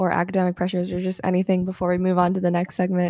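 A woman with an American accent speaks at a medium pitch. The sound is dry and close with no echo, in a very clean recording with a silent background. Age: 19. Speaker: podcast host, college student. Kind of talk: casual chat. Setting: on the couch at home. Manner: many fillers, frequent laughs.

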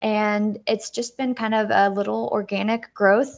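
At a fairly slow pace, a woman speaks with a medium-pitched voice. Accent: American. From US Midwest, Dayton, Ohio. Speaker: winemaker. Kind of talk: interview. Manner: halting, many repeated words.

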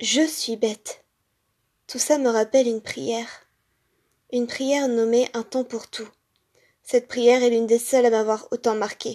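Her tone is intense and her pitch high as this woman talks at a fairly slow pace. The intonation is monotone and flat, broken by long, frequent pauses. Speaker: podcaster. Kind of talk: reading aloud.

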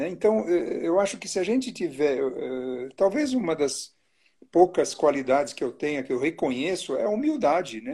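Very wide pitch swings in a dark, mellow tone. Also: man, high pitch for a man, moderate pace. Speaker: obstetrician. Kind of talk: casual chat. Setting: Instagram live video.

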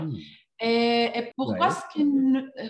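A woman with a fairly high voice speaks with a Spanish accent. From Colombia. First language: Spanish (speaking French). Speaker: learning experience designer. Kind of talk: interview. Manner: halting, with many repeated words.

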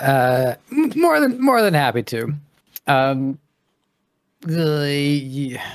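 A man's fairly high voice at a very slow pace, with long, frequent pauses and ordinary pitch variation. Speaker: e-commerce podcaster. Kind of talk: casual chat. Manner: halting.

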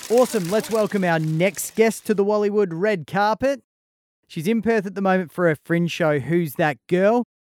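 A man with an Australian accent speaks in a dry, close sound with no echo. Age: 40s. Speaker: podcast host. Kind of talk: casual chat.

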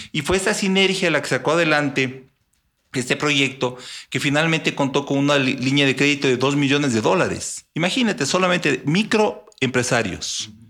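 A man's bright, sharp voice, fairly high in pitch with ordinary pitch variation and big swings in loudness, on a very clean recording with a silent background. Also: moderate pace. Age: 50s. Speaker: businessman. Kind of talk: interview. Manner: halting.

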